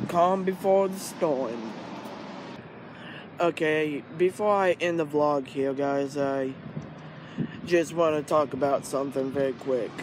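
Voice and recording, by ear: The speech moves at a slow pace with long, frequent pauses and ordinary pitch variation over faint background noise. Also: man, fairly high pitch for a man.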